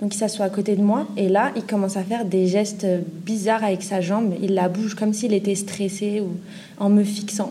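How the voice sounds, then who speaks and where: A woman speaks at a moderate pace in a somewhat breathy, dark and mellow voice of medium pitch, monotone and flat, with audible room echo. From Paris suburbs. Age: 20s. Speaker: student sharing experience. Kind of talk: testimony.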